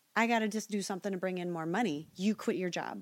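On a very clean recording with a silent background, a woman with an American accent talks at a fairly quick pace in an unremarkable speaking voice with ordinary pitch variation. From Nebraska, US Midwest. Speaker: singer. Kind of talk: casual chat.

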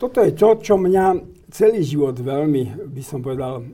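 At a moderate pace, a man speaks in a fairly high, somewhat breathy voice with a dark, mellow tone and ordinary pitch variation. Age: 70s. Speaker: guest commentator on church affairs. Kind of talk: interview. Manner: halting.

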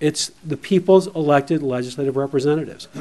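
In an ordinary speaking voice, a man talks at a fairly quick pace, his pitch fairly high with ordinary variation. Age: 60s. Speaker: constitutional lawyer. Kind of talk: legislative testimony. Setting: legislative committee hearing.

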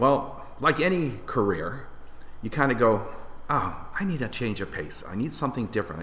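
Speaking at a moderate pace with a Canadian accent, a man shows very wide pitch swings and vocal fry. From Windsor, Ontario, Canada. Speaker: lighting designer. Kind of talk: casual interview chat.

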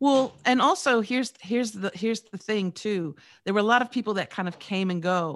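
Recorded very cleanly against a silent background, a woman talks in an ordinary speaking voice, fairly high in pitch with ordinary pitch variation. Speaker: radio personality and podcast coach. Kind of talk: podcast interview.

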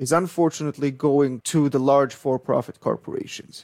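A man speaks with an Israeli accent at a fairly quick pace and a fairly high pitch. The sound is dry and close, with no echo. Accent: Israeli, noticeable. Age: 30s. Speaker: startup founder, electrical engineer. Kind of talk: interview.

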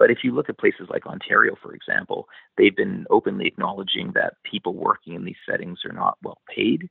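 The voice belongs to a man. He speaks at a moderate pace. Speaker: geriatrics physician and policy expert. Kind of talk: interview answers.

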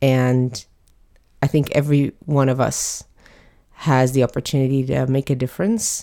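Her voice is very deep and low, with a dark, mellow tone. The woman speaks at a moderate pace with fairly even intonation. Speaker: activist guest. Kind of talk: casual interview conversation.

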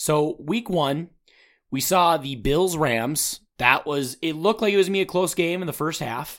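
Fairly high in pitch, a man with an American accent talks at a moderate pace, with ordinary pitch variation, in an unremarkable speaking voice. The recording is very clean, with a silent background. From Minnesota. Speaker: sports podcast host. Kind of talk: casual chat.

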